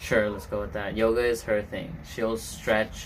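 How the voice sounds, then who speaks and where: A man speaks at a fairly low pitch with a non-native accent. Audible room echo surrounds his voice. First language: not English. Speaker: podcast host. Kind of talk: casual chat.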